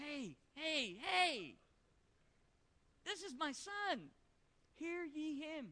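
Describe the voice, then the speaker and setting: A woman puts on a high-pitched character voice, speaking very slowly with long, frequent pauses. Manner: solemn, authoritative.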